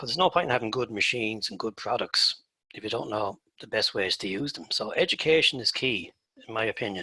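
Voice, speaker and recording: With an Irish accent, a man speaks at a very fast pace and medium pitch in a bright, sharp tone. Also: ordinary pitch variation. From Ireland. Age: 60s. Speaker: turfgrass researcher and former golf course superintendent. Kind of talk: presentation.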